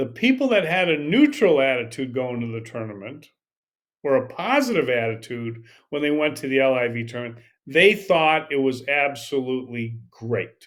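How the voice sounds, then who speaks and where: Moderate pace and ordinary pitch variation from a man at medium pitch. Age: 60s. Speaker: golf podcast host. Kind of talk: casual commentary. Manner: halting, with repeated words.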